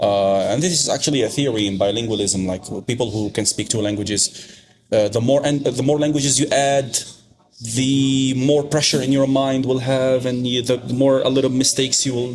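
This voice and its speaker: Speaking at a fairly quick pace, this man has an Arabic accent. His medium pitch shows ordinary pitch variation. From Algeria. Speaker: podcast guest. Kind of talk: casual chat.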